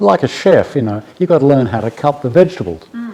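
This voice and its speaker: A man with an Australian accent, lively intonation and a moderate pace, plus noticeable background noise. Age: 70s. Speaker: bespoke tailor. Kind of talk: interview answer.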